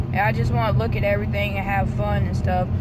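The recording of this woman is dry, with no echo. Loud background noise runs underneath. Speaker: vlogger. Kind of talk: casual vlog chat. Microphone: phone near.

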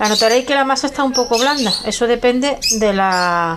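A woman speaks with ordinary pitch variation. Loud background noise is present. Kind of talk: tutorial. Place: kitchen. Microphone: phone near.

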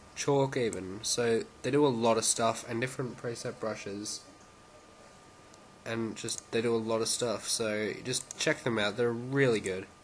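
A man's fairly even intonation and fairly slow delivery come through noticeable background noise. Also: medium pitch for a man. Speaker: tutorial maker. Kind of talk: software tutorial narration. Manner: casual, hesitant.

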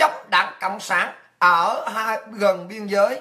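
The voice belongs to a woman. Her words come very slowly. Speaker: political commentary show host. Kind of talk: political monologue. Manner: animated. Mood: indignant, scolding. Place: home room. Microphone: webcam.

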